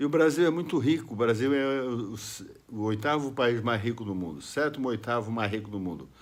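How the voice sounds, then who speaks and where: His intonation is lively as a man talks at a moderate pace. Audible room echo surrounds the voice. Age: 70s. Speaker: political video blogger. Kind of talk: political monologue to camera. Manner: halting, with fillers and restarts.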